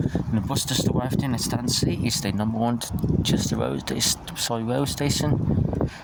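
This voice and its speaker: With audible room echo and noticeable noise behind it, the voice proceeds at a moderate speed and varies in pitch in an ordinary way. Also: man, medium pitch for a man. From northwest England, Ellesmere Port. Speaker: bus enthusiast vlogger. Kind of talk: casual vlog narration. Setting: outdoors at bus station. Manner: soft-spoken, talking quietly; halting, many fillers.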